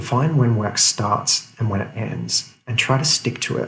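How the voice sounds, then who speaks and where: A man whispers quietly. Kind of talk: motivational talk to camera. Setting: office. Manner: whispered, quiet.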